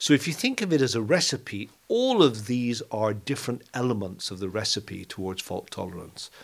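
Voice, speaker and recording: With hardly any pauses, a man talks at a moderate pace in an unremarkable speaking voice, his medium pitch carrying lively intonation and big swings in loudness. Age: 60s. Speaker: quantum computing company founder. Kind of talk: interview.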